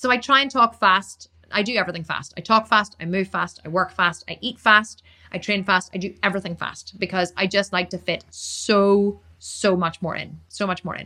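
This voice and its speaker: The voice sounds enthusiastic, with a bright, sharp tone. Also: woman. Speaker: Instagram live streamer. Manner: fast talker.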